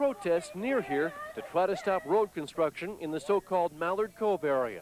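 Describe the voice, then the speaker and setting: Against noticeable background noise, a man with a high pitch speaks at a fairly quick pace in a dry, close sound with no echo. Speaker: TV news reporter. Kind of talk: TV news field report.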